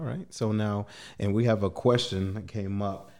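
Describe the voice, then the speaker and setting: A man speaks in a normal speaking voice, his pitch fairly low. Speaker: podcast host. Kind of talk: casual interview.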